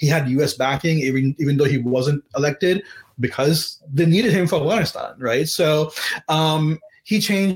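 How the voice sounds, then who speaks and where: Somewhat breathy and fairly high-pitched, a man speaks at a moderate pace with very even loudness and ordinary pitch variation. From Pakistan, Karachi. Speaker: novelist and attorney. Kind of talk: author interview at live webcast event. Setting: live webcast.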